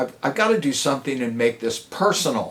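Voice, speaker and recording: Very wide pitch swings from a man talking at a moderate pace. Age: 70s. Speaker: motivational speaker. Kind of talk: testimony.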